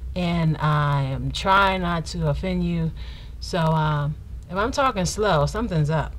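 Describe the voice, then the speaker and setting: The woman talks rather slowly. Her voice carries a noticeable echo from the room. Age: 30s. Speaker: vlogger. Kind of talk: casual Q&A vlog.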